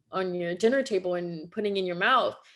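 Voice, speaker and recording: A woman's voice with a Quebec accent and ordinary pitch variation against a quiet background. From Quebec, Canada. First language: French. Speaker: holistic nutritionist. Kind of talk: interview conversation.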